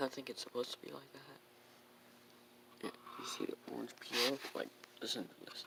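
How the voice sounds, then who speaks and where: A quiet man speaks at a fairly quick pace with long, frequent pauses and big swings in loudness. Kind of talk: casual car review to camera. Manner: quiet, hard to hear.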